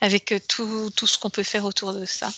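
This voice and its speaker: With a dry, close sound and no echo, a woman at medium pitch speaks at a moderate pace in a flat monotone with a bright, sharp tone. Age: 50s. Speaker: hypnotherapist. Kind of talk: hypnosis session.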